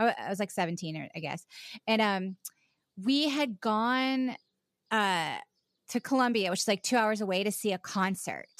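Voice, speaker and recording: Speaking at a moderate pace with an American accent, a woman uses a fairly high voice and ordinary pitch variation, leaving long, frequent pauses. The recording is very clean and dry, with a close sound, no echo and a silent background. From US South, Charleston, South Carolina. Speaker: actor and podcaster. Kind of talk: casual chat. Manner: halting, frequent laughter.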